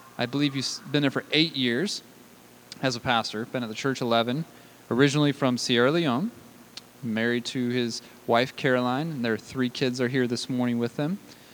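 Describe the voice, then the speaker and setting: A man with an ordinary speaking voice keeps to a moderate pace. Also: medium pitch for a man. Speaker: pastor. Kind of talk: sermon. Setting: church.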